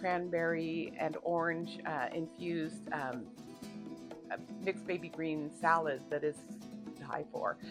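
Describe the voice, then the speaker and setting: Lively intonation comes at a very slow pace, with music in the background. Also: woman. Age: 50s. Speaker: cooking vlogger. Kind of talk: cooking tutorial. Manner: hesitant, many fillers; casual, chatty.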